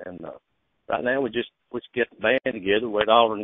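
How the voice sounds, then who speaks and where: A man with an Alabama accent talks at a medium pitch and a fairly quick pace with fairly even intonation. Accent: Alabama Southern. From US South, Alabama (Lawrence County). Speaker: singer-songwriter. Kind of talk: casual radio interview. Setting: phone call.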